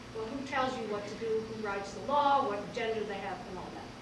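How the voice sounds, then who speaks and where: A fairly quick New York accent with ordinary pitch variation, plus audible room echo and noticeable background noise. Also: woman. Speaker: nature photographer. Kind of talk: talk to a small audience. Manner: casual, halting with fillers.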